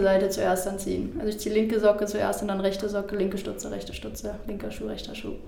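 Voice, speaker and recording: Against noticeable background noise, a woman at medium pitch talks at a very fast pace with big swings in loudness and hardly any pauses. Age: 20s. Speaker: football player, team captain. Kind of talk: interview. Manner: hesitant, many fillers.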